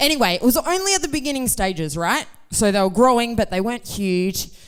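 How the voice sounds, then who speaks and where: A woman with an Australian accent, fairly high pitch, very wide pitch swings and a very fast pace. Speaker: youth group member. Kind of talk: personal testimony. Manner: casual, chatty.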